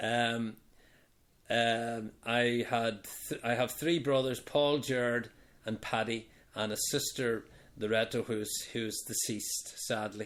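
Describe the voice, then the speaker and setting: Over a very clean recording with a silent background, a man with a Belfast accent talks at a very slow pace in a monotone, flat intonation, leaving long, frequent pauses. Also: medium pitch for a man. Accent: Belfast Northern Irish. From Northern Ireland, Belfast (Falls Road). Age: 60s. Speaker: retiree being interviewed by family. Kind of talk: casual interview over wine.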